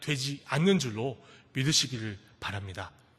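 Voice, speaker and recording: Speaking at a moderate pace, a man uses a raised, projected voice with very wide pitch swings. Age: 20s. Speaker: pastor. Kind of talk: sermon. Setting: church.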